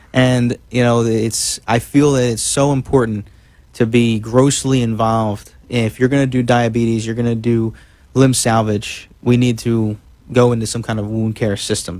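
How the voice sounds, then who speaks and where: A man speaks with an American accent at a moderate pace. His pitch sits in the medium range. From South Jersey / South Philadelphia. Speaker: podiatrist. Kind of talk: radio interview. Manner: halting.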